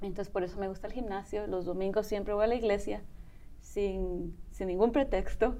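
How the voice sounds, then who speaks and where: Audible room echo surrounds a woman's voice. She speaks at a moderate pace in a dark, mellow tone. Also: medium pitch for a woman, fairly even intonation. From Spain. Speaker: bodybuilder and mother. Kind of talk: interview testimony.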